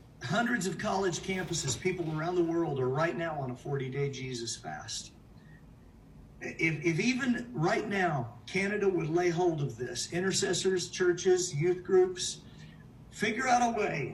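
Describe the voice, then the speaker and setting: With lively intonation and a high pitch for a man, he speaks at a fairly slow pace, and audible room echo surrounds his voice. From United States. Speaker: preacher. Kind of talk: sermon. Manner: animated; halting.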